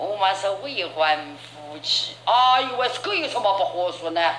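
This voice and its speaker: A woman speaks at a very slow pace with very wide pitch swings. Noticeable background noise runs underneath. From Yangzhou. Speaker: traditional storyteller. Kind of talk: traditional oral storytelling performance. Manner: expressive, full of tone and cadence.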